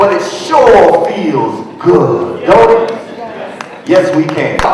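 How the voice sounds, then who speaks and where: A man talking at a very slow pace over noticeable background noise. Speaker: spoken word artist. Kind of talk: spoken word poetry performance. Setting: live event.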